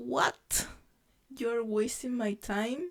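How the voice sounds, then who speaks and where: A woman talks at a very slow pace with a non-native accent. Her pitch variation is ordinary. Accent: non-native English pronunciation. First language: not English. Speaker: vlogger. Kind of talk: casual monologue to camera. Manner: halting, many fillers.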